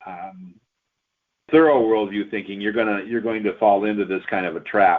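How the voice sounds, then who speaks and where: Fairly low in pitch, this man has an unremarkable speaking voice. He speaks at a moderate pace with ordinary pitch variation. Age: 60s. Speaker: pastor. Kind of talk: radio interview.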